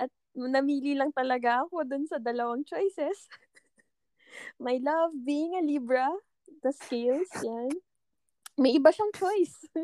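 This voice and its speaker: A woman speaks at a fairly slow pace, taking long, frequent pauses. Her high, dark and mellow voice has ordinary pitch variation, with a dry, close sound and no echo. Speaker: podcast co-host in a long-distance relationship. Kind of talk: casual chat.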